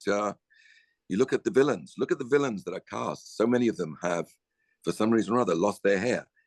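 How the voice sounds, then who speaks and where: A man talks in a normal speaking voice of medium pitch, with lively intonation at a fairly quick pace. The sound is dry and close, with no echo. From Canada. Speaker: actor. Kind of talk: casual chat.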